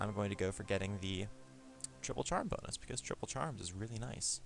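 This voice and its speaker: Music plays in the background as a man with a fairly low pitch speaks very fast with lively intonation. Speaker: game reviewer. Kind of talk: casual gameplay commentary. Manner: stuttering, repeats himself.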